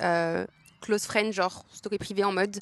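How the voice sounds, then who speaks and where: A woman with a normal speaking voice talks at a moderate pace and medium pitch, with ordinary pitch variation in a dry, close sound with no echo. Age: 20s. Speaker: podcaster. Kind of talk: casual chat. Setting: outdoors in a park. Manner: casual, filler-heavy.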